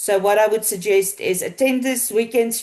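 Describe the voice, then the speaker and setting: A woman with a South African accent speaks against a quiet background. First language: Afrikaans. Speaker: team leader at a marketing company. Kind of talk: online business Q&A call. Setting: video call.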